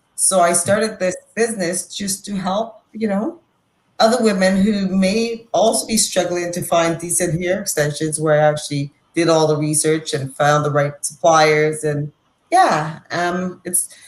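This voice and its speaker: Somewhat breathy, a woman talks in a fairly low pitch with ordinary pitch variation. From Dominica, West Indies. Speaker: hair extension business owner. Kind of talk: podcast interview. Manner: casual, filler-heavy.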